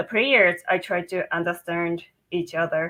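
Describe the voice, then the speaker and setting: Speaking at a fairly slow pace, a woman with a Japanese accent uses a medium pitch in a very clean recording with a silent background. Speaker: football referee. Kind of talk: panel discussion. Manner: simple short sentences.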